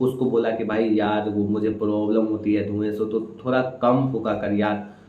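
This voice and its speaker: This man has a normal speaking voice. His pitch is fairly low. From Samastipur, Bihar, India. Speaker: stand-up comedian. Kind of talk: stand-up comedy set.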